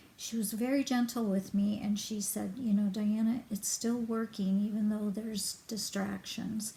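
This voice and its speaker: A woman at a medium pitch, flat and monotone in intonation, over noticeable background noise. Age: 60s. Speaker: hypnosis client giving a review. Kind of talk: testimonial. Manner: halting, many fillers.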